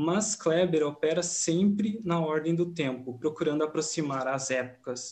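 A man speaks at a fairly slow pace with hardly any pauses. His pitch varies in an ordinary way, and his loudness stays very even. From Rio Grande do Sul, Brazil. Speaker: film researcher; presenter. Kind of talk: academic conference presentation. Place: home room. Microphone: webcam.

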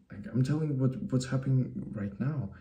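Against a quiet background, a man with a Russian accent speaks at a moderate pace in a dark, mellow tone that is somewhat breathy. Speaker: YouTuber. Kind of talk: personal vlog monologue. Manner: halting, frequent repetitions. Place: home room. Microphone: webcam.

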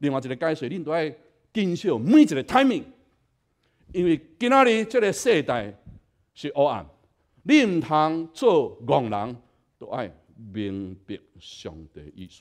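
Against a quiet background, a man speaks fairly slowly in a fairly high pitch with long, frequent pauses, very wide pitch swings and big swings in loudness. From Taiwan. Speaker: pastor. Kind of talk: sermon. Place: church.

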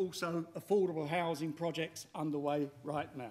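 A man's moderately paced speech with ordinary pitch variation. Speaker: machinery designer and inventor. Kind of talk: pitch talk. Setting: stage with audience. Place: hall.

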